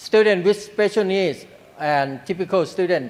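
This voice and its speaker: A man's high voice with a Thai accent and lively intonation. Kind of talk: panel presentation. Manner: halting.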